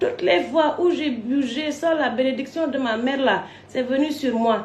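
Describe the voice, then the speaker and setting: There's audible room echo as a woman with a non-native accent speaks fairly slowly in an animated tone. Her pitch is high, with ordinary variation. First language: not French (speaking French). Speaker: online personality. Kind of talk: storytelling rant to camera.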